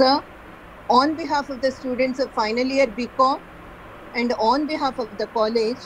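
A woman with a high voice speaks at a moderate pace, leaving long, frequent pauses. Her intonation is fairly even, and there is light background noise. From India. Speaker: college lecturer, event moderator. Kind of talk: formal introduction. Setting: video call. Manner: formal. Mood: polite, respectful. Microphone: video call.

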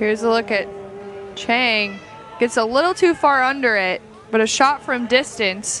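Through noticeable background noise, a woman at a fairly high pitch speaks at a moderate pace with ordinary pitch variation and long, frequent pauses. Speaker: color commentator. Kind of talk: live sports commentary with analysis. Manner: measured, explanatory, calmer than play-by-play.

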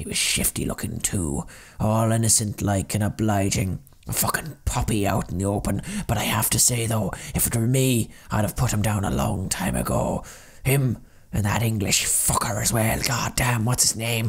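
This man's pitch is fairly low. He talks at a moderate pace. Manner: indignant, blustering, spiteful.

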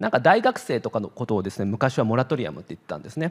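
Very fast male talking with a quiet background. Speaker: psychiatrist; presenter. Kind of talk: lecture. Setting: online event talk. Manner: many filler words. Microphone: handheld.

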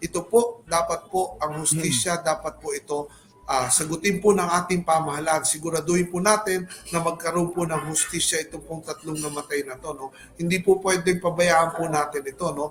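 Over music in the background, a man with a high-pitched voice talks at a fairly quick pace with fairly even intonation. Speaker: congressman. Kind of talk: interview. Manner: halting.

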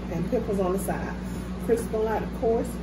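A woman talks over loud background noise. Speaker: mukbang vlogger. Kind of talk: casual vlog chat. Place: home room. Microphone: phone near.

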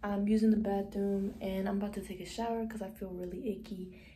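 Somewhat breathy and dark, mellow in tone, a woman speaks at a moderate pace in a monotone, flat intonation over light background noise. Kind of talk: casual vlog chat. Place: bathroom. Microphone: phone near.

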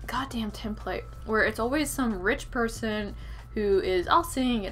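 Moderate pace against light background noise. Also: woman. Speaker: book reviewer. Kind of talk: casual vlog chat. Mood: exasperated, opinionated rant. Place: home room. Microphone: webcam.

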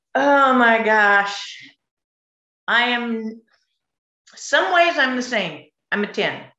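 In an American accent, a woman speaks very slowly in a bright, sharp tone with lively intonation. The background is quiet, but room echo is audible. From California. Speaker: Olympic swimmer; guest. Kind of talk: panel discussion. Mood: cheerful, reminiscing. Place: home room. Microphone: video call.

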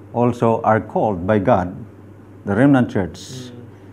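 A man of medium pitch at a very slow pace with lively intonation, over light background noise. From Philippines. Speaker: theology lecturer. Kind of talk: Bible study lesson. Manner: hesitant, many fillers. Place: meeting room.

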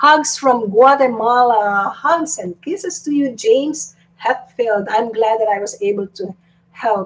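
A woman speaks with a high pitch and lively intonation. Her pace is fairly slow. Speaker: YouTube live streamer. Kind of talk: live stream chat reading viewer comments. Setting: live stream at home. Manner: animated. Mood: cheerful, playful. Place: home room. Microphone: webcam.

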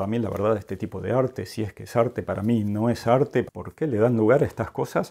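At a fairly quick pace, a man with a medium pitch and a dark, mellow tone speaks with ordinary pitch variation. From Argentina, Mar del Plata. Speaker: art educator YouTuber. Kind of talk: museum review vlog. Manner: casual, conversational.

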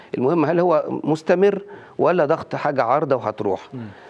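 A man with an Egyptian accent and vocal fry, at a fairly quick pace over a quiet background. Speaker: cardiologist; guest. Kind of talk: TV health interview. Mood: calm, explanatory. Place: studio. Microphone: lapel.

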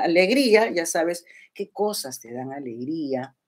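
A woman with vocal fry and very wide pitch swings, at a fairly slow pace, over a quiet background. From Peru. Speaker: YouTuber. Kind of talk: casual livestream chat. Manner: animated. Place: home room. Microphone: webcam.

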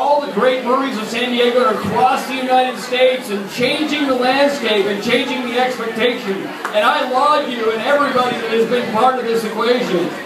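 Loud background noise and audible room echo surround a man's voice. He talks at a fairly quick pace with hardly any pauses. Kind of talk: toast speech to a crowd. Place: bar. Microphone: camera far.

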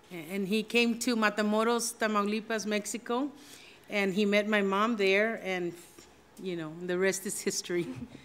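Speaking at a medium pitch, a woman keeps a fairly slow pace. Her intonation is fairly even. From Texas. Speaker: judge; judge giving a forum talk. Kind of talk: formal speech via interpreter. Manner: halting. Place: hall. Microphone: podium.

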